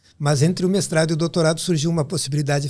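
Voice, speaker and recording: A man rattles along at a very fast pace in a fairly high pitch. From southern Brazil, Rio Grande do Sul (São Borja). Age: 60s. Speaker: pediatric neurologist. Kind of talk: podcast interview.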